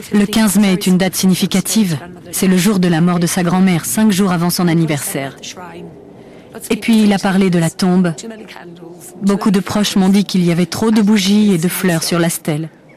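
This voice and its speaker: The speech comes at a moderate pace, broken by long, frequent pauses, with fairly even intonation and very even loudness. Noticeable background noise sits underneath. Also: woman, medium pitch for a woman. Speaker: bereaved mother. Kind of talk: testimony.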